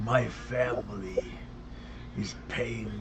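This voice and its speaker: Over loud background noise, a man puts on a character voice with a very deep, low pitch. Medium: actual play. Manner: talking out of half his mouth.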